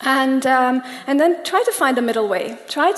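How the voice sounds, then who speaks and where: A woman in a Persian accent speaks at a high pitch amid noticeable background noise. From Germany, Iranian family. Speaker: coach. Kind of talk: public talk. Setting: stage with audience.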